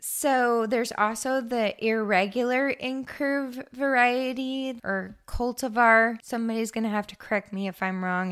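A woman's fairly high voice at a fairly slow pace, with ordinary pitch variation, on a very clean recording with a silent background. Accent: American. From Eastern Oregon. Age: 30s. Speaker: flower farmer and podcast host. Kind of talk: solo podcast monologue. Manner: casual, chatty.

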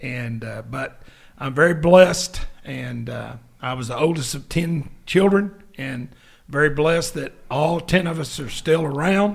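A man with a fairly high pitch speaks fairly slowly and somewhat breathily. His loudness swings a lot, while his pitch varies in an ordinary way. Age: 70s. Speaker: co-host, school athletics administrator. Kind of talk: casual faith podcast chat.

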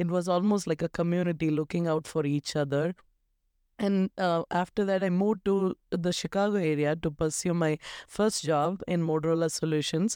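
In a South Indian accent, a woman speaks at a fairly low pitch with a dark, mellow tone, a moderate pace, fairly even intonation, and very even loudness, in a dry, close sound with no echo. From South India, Tamil Nadu. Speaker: tech leader. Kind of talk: interview conversation.

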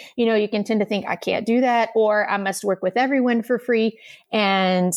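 A woman with an American accent talks in a normal speaking voice at a fairly high pitch, with ordinary pitch variation and a moderate pace. The sound is dry and close with no echo, over a quiet background. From rural Texas. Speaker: pharmacist turned health coach. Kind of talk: casual interview.

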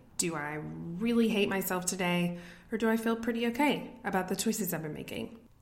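A woman with an American accent speaks at a fairly quick pace and a medium pitch. Audible room echo fills the recording. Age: 30s. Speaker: podcast host. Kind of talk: solo pep talk.

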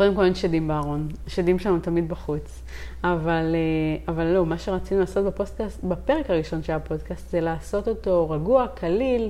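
Room echo can be heard. A woman's speech moves fairly quickly. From Israel, Haifa Krayot. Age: 30s. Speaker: life coach and podcast co-host. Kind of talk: casual chat. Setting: recording at home on a couch.

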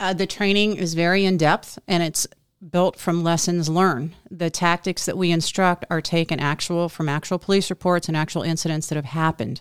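A woman talks at a fairly quick pace with fairly low pitch and fairly even intonation, a plain, everyday voice. The sound is dry and close with no echo, on a very clean recording with a silent background. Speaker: co-host. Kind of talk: casual chat. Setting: outdoors.

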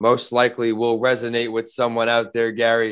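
A man talks in an unremarkable speaking voice at medium pitch and a moderate pace. The background is quiet. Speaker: podcast host and author. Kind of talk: casual interview.

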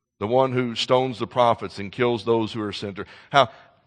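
A passage is read aloud in a natural voice. The intonation is fairly even.

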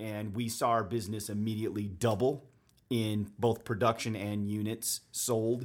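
In a very clean recording with a silent background, a man speaks with an American accent. His fairly low voice holds a flat, monotone intonation at a moderate pace. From Utah, Davis County (Bountiful). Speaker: real estate agent. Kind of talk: casual interview chat. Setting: studio.

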